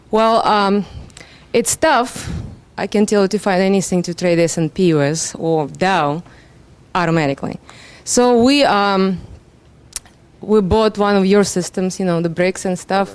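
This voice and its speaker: A woman's medium-pitched voice in a Russian accent, fairly slow in pace, with long, frequent pauses and ordinary pitch variation. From Russia, Moscow. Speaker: seminar attendee, trader. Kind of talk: self-introduction at seminar. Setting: seminar room.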